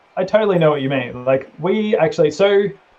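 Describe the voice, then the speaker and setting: This man has an Australian accent. His pitch is fairly high, with ordinary variation. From Australia, Melbourne. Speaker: gamer. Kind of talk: casual chat.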